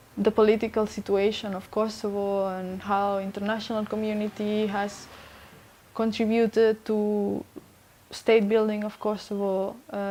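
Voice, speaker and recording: This woman's voice has a dark, mellow tone and fairly high pitch. She speaks at a moderate pace with monotone, flat intonation. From Spain. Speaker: journalist. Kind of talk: oral history interview. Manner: halting, many fillers and restarts.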